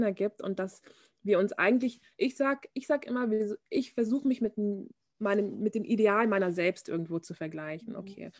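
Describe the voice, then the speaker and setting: A woman talks at a moderate pace in a normal speaking voice, medium-pitched with ordinary pitch variation, and the sound is dry and close with no echo. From Bavaria, Germany. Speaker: fashion model. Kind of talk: casual interview chat.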